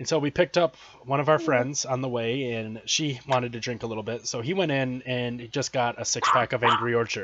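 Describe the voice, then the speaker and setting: Speaking with an American accent, a man moves at a fairly quick pace with hardly any pauses. His pitch is medium with ordinary variation, and he has an ordinary speaking voice. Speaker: podcast host. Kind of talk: casual interview chat.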